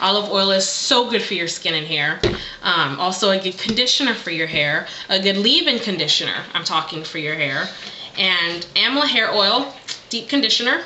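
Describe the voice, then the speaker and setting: A woman speaks at a fairly quick pace with lively intonation and medium pitch. Noticeable background noise and audible room echo surround her voice. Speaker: beauty vlogger. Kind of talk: casual vlog monologue.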